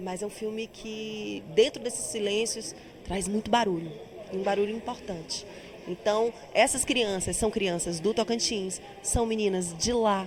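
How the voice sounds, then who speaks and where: A woman with a strong Bahian accent, medium pitch, fairly even intonation and a fairly slow pace, over noticeable background noise. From Bahia, Brazil. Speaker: actress and singer. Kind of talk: interview.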